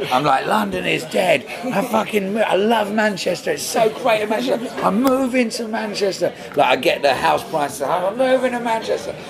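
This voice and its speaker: A man with an Essex accent speaks at a high pitch with lively intonation and hardly any pauses. Noticeable background noise and audible room echo fill the recording. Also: moderate pace. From England, Braintree, Essex. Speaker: folk singer-songwriter. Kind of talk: casual interview. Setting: corner of a restaurant.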